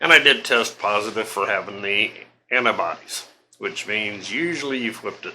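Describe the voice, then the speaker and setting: His tone is bright and sharp, with a fairly low pitch. The man speaks at a moderate pace. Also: ordinary pitch variation. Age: 60s. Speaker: homesteading vlogger. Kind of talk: casual vlog monologue. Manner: conversational, filler-heavy.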